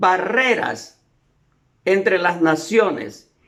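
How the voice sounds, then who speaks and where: The man talks at a very slow pace. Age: 70s. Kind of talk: sermon-style lecture.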